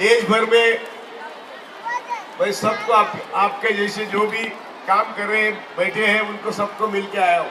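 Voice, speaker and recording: A man with a high pitch uses a raised, projected voice in a monotone, flat intonation, leaving long, frequent pauses. Audible room echo and noticeable background noise fill the recording. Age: 80s+. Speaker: retired judge, activist. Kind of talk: protest rally speech. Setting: sit-in protest gathering. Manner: impassioned.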